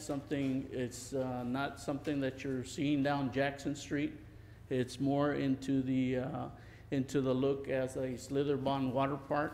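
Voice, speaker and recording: A man talks at a fairly slow pace. His intonation stays monotone and flat. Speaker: council presenter. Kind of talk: presentation to council. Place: hall. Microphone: podium.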